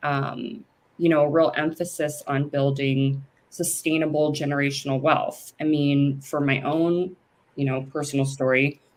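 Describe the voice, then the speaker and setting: Speaking in a very deep, low voice with an American accent, a woman delivers her words in a monotone, flat intonation. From US West Coast, San Francisco Bay Area. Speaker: lawyer and cannabis business founder. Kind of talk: interview.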